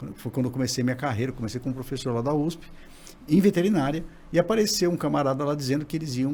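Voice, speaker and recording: The speaker talks at a very fast pace in a somewhat breathy voice with ordinary pitch variation. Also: man. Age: 60s. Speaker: digital scientist, former professor. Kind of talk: podcast interview.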